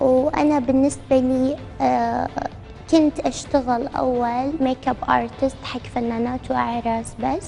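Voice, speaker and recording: Heard against noticeable background noise, a woman speaks at a very slow pace in a high pitch with fairly even intonation. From Iraq. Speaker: social media model. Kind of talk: TV interview. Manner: coquettish, affected; halting with fillers.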